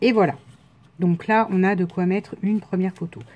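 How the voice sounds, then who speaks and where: At a moderate pace, a woman speaks in a fairly low, somewhat breathy voice. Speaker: scrapbooking crafter. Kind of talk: casual craft tutorial talk to camera. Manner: casual, hesitant.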